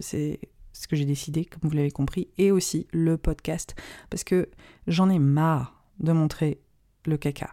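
Her fairly low, dark, mellow voice stays monotone and flat as this woman speaks in a dry, close sound with no echo, in a very clean recording with a silent background. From French community in India. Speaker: astrologer and podcast host. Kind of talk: solo podcast monologue. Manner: hesitant, many fillers.

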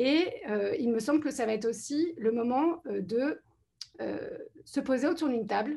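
A woman speaks with a high pitch and a dark, mellow tone. Her pitch varies in an ordinary way. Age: 40s. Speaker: political candidate. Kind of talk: panel discussion.

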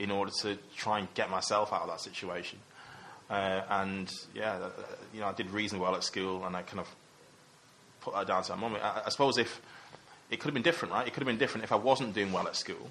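With a Mancunian accent, a man talks at a very fast pace with a fairly low pitch and ordinary pitch variation, yet leaves long, frequent pauses. Noticeable background noise runs behind him. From Manchester, England. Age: 30s. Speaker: investment consultant. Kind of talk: casual interview.

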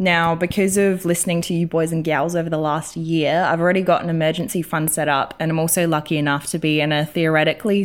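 A woman speaks with an Australian accent at a fairly quick pace. Her fairly low pitch stays in fairly even intonation. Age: 20s. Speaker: listener sending a voice message; works in film. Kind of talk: recorded voice message question. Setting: recorded voice message.

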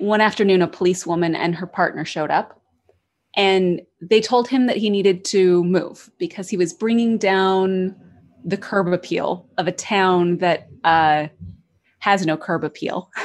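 An unremarkable speaking voice in an American accent, at a fairly slow pace with fairly even intonation over a quiet background. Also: woman, medium pitch for a woman. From United States. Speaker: podcaster. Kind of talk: storytelling narration; casual interview chat.

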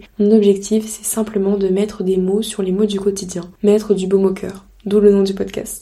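A woman's medium-pitched, monotone voice with flat intonation, at a moderate pace over noticeable background noise. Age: 20s. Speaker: podcaster. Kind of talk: casual monologue.

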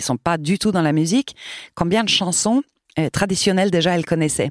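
A woman with an unremarkable speaking voice at medium pitch, recorded very cleanly against a silent background, in a dry, close sound with no echo. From Sweden. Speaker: choir director. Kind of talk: interview.

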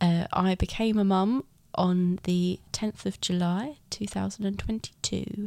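A woman with an English accent, a dark, mellow tone, fairly even intonation and a very slow pace. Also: medium pitch for a woman. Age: 30s. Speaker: first-time mother. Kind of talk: casual interview.

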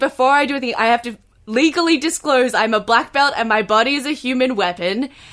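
A woman's high voice at a very fast pace with ordinary pitch variation. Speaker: comedian. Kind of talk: casual chat. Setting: video call.

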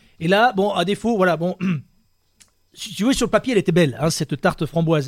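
Animated and very fast, a man with a high pitch and lively intonation leaves long, frequent pauses, his sound dry and close with no echo. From Dordogne, France. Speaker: web radio host. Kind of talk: casual chat.

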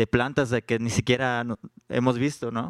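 A man's monotone, flat delivery in a dry, close sound with no echo. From Juchitán, Oaxaca, Mexico. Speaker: rapper. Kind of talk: live panel interview. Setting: stage with audience at book fair.

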